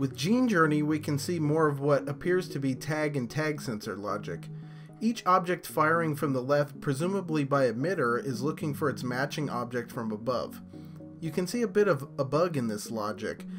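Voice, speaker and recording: With music in the background, a man with a fairly high pitch speaks at a moderate pace using lively intonation. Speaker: game analysis video creator. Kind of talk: technical breakdown narration.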